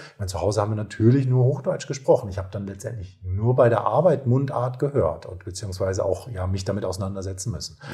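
A man with a dark, mellow tone and a fairly low pitch speaks at a very fast pace with hardly any pauses. He sounds somewhat breathy, with ordinary pitch variation and big swings in loudness. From northern Germany, North Sea coast. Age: 40s. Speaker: nurse. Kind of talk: casual interview.

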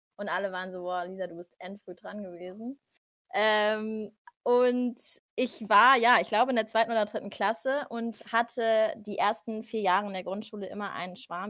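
In a very clean recording with a silent background, a woman with an unremarkable speaking voice talks at a moderate pace and a fairly high pitch, with fairly even intonation and big swings in loudness. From Frankfurt am Main, Germany. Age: 20s. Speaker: podcast guest. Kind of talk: casual chat.

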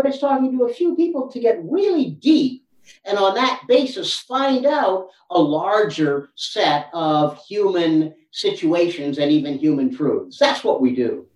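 High-pitched male voice with an American accent, very wide pitch swings and a fairly slow pace. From United States. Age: 60s. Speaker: anthropology professor. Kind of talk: interview.

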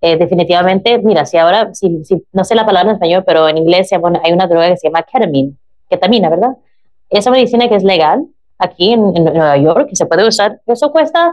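Her loudness stays very even as the woman talks at a fairly quick pace. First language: English (speaking Spanish). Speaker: drug policy activist and chaplain. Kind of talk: interview. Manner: halting, searching for Spanish words.

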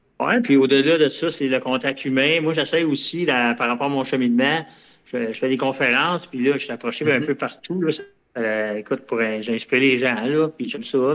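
A man speaks with a Quebec accent. His pitch is medium, with ordinary variation. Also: moderate pace. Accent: Québécois French. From Quebec (Longueuil). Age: 50s. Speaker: ultramarathon runner. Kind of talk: casual interview.

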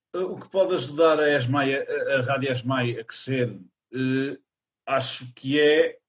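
Speaking at a very slow pace, a man uses a fairly high pitch with ordinary pitch variation. His voice is somewhat breathy, with big swings in loudness. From Portugal, Chaves (north). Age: 20s. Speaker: theatre student and college radio member. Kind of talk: casual interview.

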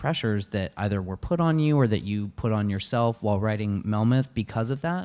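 This man has an ordinary speaking voice with medium pitch and moves at a fairly quick pace. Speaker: podcast host. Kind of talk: interview conversation.

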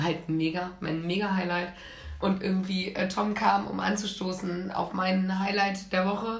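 Speech moves at a moderate pace. Noticeable background noise and audible room echo fill the recording. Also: woman. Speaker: podcast co-host. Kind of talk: casual chat.

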